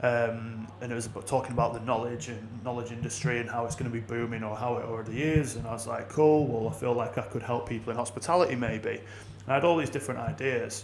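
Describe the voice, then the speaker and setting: With a northern English accent, a man speaks at a very fast pace with hardly any pauses, amid noticeable background noise and audible room echo. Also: medium pitch for a man. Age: 30s. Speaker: business consultant. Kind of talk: podcast interview. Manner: animated.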